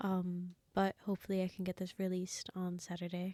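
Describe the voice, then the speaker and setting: Soft-spoken and dark and mellow in tone, a woman with a medium pitch is heard in a dry, close recording with no echo. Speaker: reaction video creator. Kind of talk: casual reaction commentary.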